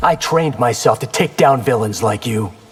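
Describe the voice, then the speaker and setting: Using a growling, put-on character voice, a man speaks at a moderate pace and medium pitch. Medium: video game. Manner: cocky, quippy.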